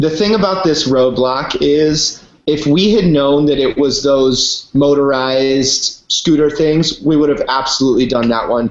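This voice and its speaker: An ordinary speaking voice at a fairly slow pace with hardly any pauses, ordinary pitch variation, and very even loudness. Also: man, fairly high pitch for a man. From Virginia, US. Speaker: reality TV race contestant. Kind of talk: casual chat.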